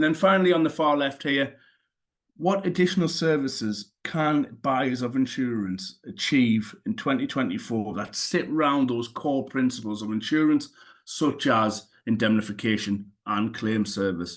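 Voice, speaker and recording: A man with a Newcastle accent, medium pitch, lively intonation and a moderate pace, over a quiet background. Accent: Newcastle (Geordie). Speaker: cyber insurance claims specialist. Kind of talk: webinar presentation.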